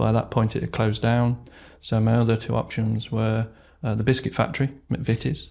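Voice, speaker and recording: Spoken with an East Midlands accent at a fairly quick pace, in a dark, mellow tone. The intonation stays fairly even, and the very clean recording has a silent background. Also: man, medium pitch for a man. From England, Derbyshire. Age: 40s. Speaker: retail operations manager. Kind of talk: podcast interview.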